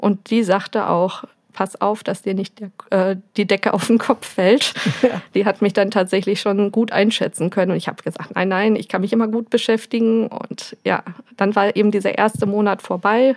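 The sound is dry and close, with no echo, and the delivery keeps a moderate pace. It is a normal speaking voice with fairly even intonation. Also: woman, medium pitch for a woman. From Germany, Möhnesee area (Westphalia). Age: 30s. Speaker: young mother, visitor of a parent café. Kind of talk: casual interview.

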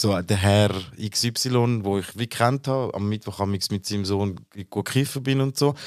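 A man speaks at a moderate pace in a plain, everyday voice, fairly low-pitched with ordinary pitch variation, on a very clean recording with a silent background. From Switzerland, born in Turkey. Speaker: podcast co-host. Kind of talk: casual discussion.

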